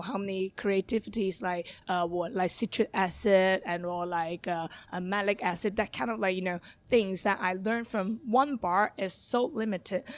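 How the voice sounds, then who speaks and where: Speech in a Hong Kong accent moves at a moderate pace with ordinary pitch variation, on a very clean recording with a silent background. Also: woman. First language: Cantonese. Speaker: bar manager. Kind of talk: podcast interview. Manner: halting.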